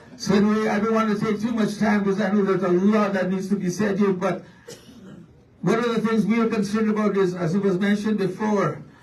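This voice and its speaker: Loud speech with monotone, flat intonation carries an audible room echo. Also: man. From Manitoba First Nation, Canada. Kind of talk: public speech at a community meeting. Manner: impassioned, rousing.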